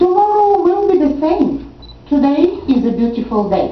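At a fairly slow pace, a woman speaks in a high pitch with very wide pitch swings, with audible room echo. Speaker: poet and program director. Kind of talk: poetry reading to an audience. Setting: senior center event with audience. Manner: slow, gentle, tender, with soft pauses; warm, intimate, sometimes laughing. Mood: calm, reflective. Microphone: podium.

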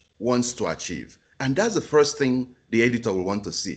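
A man's medium-pitched voice with vocal fry against a quiet background. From Africa. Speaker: journal editor; keynote speaker. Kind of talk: webinar presentation. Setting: video call. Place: home room. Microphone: video call.

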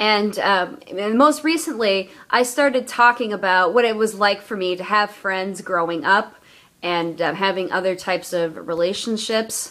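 Her tone bright and sharp, a woman talks at a moderate pace with lively intonation. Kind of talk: casual vlog talk to camera. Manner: stuttering, hesitant. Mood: earnest, personal. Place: home room. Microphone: phone near.

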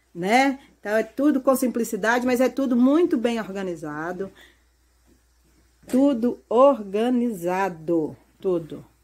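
A woman's fairly high voice at a very slow pace, with long, frequent pauses, on a very clean recording with a silent background. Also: lively intonation. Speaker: rural life vlogger. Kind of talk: casual interview and house tour. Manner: enthusiastic.

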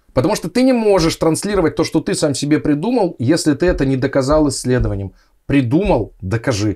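A man speaks in a fairly high pitch with a dark, mellow tone and vocal fry. His pitch swings very widely, and his pace is fairly quick. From Siberia, Russia (Krasnoyarsk). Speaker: anesthesiologist. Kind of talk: casual interview chat.

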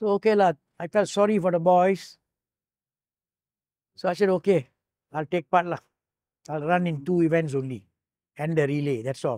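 Speaking at a moderate pace with long, frequent pauses, a man with a high pitch and a dark, mellow tone uses ordinary pitch variation against a quiet background in a dry sound with no echo. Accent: Malaysian. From Malaysia. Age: 80s+. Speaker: retired Olympic hurdler and navy officer. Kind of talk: oral history interview. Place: home room.

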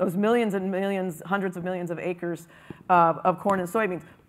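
This woman has a plain, everyday voice. She speaks at a medium pitch and a fairly quick pace. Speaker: biotech entrepreneur. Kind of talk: conference panel discussion. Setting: stage with audience.

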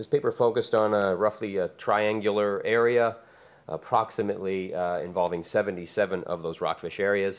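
A man speaks in a normal speaking voice at a moderate pace. His pitch is fairly low and his intonation fairly even. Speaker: fisheries researcher; conference presenter. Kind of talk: conference presentation. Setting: stage with audience. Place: meeting room. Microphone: podium.

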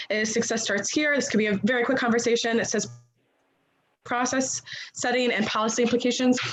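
The room carries an audible echo. A woman's voice comes through it. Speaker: school board committee chair. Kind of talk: public meeting. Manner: fast.

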